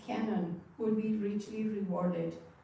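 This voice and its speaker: There is audible room echo as a woman speaks at a fairly slow pace with fairly even intonation. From Argentina. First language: Spanish. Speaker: retired teacher giving a Dharma talk. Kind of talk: Dharma talk.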